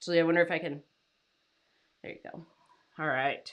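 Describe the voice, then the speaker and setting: Against a quiet background, a woman talks at a fairly quick pace in a bright, sharp tone. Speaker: freelance writer and coach. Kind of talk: live stream talk. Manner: loud when excited; animated. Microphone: new mic, level set high.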